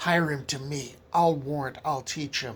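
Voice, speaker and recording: A put-on character voice comes out raspy. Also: man. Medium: read story.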